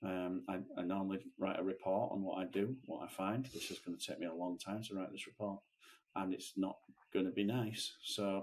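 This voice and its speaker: This man has a Lancashire accent and a fairly low pitch. His intonation stays fairly even. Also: moderate pace. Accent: northern English (Lancashire). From northern England. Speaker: podcast co-host, screen printer. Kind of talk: casual chat. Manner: halting.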